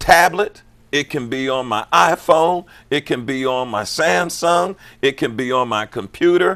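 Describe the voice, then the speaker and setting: A man speaks at a medium pitch with lively intonation and an animated tone. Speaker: pastor and health channel host. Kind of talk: interview.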